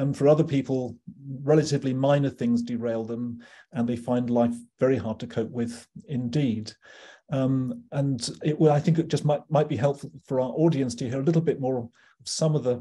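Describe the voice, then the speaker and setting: Here a man speaks in a British accent, his tone dark and mellow. His voice is somewhat breathy, with fairly even intonation. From UK. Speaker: psychiatry professor. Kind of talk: interview conversation. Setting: video call. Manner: halting. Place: home room. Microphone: video call.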